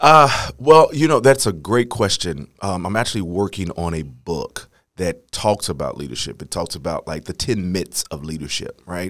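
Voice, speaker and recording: In an American accent, a man speaks with a very deep, low pitch, very wide pitch swings and big swings in loudness. He hardly pauses, and the recording is very clean with a silent background. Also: moderate pace. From St. Louis, Missouri. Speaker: education leader and church music director. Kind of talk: interview.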